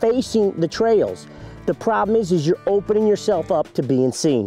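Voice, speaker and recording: Faint music plays in the background as a man speaks at a fairly quick pace, the sound dry with no echo. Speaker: hunting show host. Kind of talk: tutorial. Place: forest.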